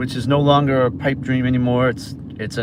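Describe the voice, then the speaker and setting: A man's medium-pitched voice with a Boston accent over noticeable background noise. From Massachusetts. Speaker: food delivery driver livestreamer. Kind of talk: casual livestream chat while driving. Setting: in a car.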